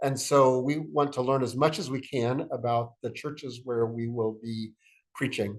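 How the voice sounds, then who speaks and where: This is an unremarkable speaking voice from a man at medium pitch. He keeps a moderate pace and fairly even intonation. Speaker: church executive and preacher giving a workshop. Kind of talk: recorded workshop lecture. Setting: screen-share video.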